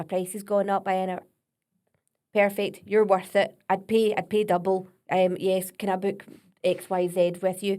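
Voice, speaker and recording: In a Scottish accent, a woman with a medium pitch and a dark, mellow tone speaks at a moderate pace, her intonation monotone and flat, with long, frequent pauses. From Scotland. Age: 40s. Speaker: vocal coach. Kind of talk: podcast interview.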